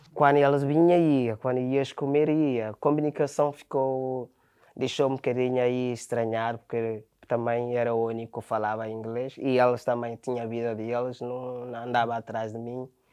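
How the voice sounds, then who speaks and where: Against a quiet background, a man talks at a moderate pace and medium pitch in a dark, mellow tone with fairly even intonation. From Ghana. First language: Ghanaian language (Portuguese learned as adult) (speaking Portuguese). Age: 20s. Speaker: factory worker and footballer. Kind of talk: interview. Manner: halting.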